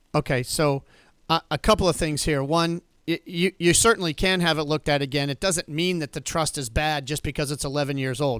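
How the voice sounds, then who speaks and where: An ordinary speaking voice, at a fairly quick pace with ordinary pitch variation, sounds dry and close with no echo. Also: man. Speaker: estate planning attorney answering callers. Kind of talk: call-in radio advice.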